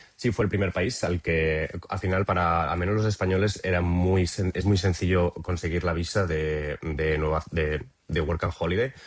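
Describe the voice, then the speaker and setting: A man talks at a moderate pace with a very deep, low pitch and fairly even intonation. His loudness stays very even, there are hardly any pauses, and the background is quiet. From Spain, Cuenca province (Castilla-La Mancha). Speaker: traveller interviewee. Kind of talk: podcast interview. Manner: halting, many fillers and repetitions.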